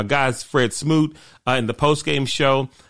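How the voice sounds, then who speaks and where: With an American accent, a man speaks in an animated tone at a moderate pace against a quiet background. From Washington DC. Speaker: sports radio host. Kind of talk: sports talk radio monologue.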